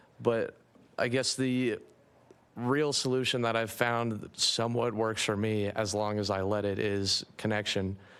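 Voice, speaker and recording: A man speaks at a fairly slow pace, his pitch medium. His intonation stays fairly even, and the recording is very clean with a silent background. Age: 20s. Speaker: youth in addiction recovery. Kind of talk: public testimony.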